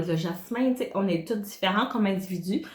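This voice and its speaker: A woman's medium-pitched voice at a fairly quick pace, with ordinary pitch variation and audible room echo. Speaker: wellness consultant. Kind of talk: tutorial. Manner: hesitant, many filler sounds.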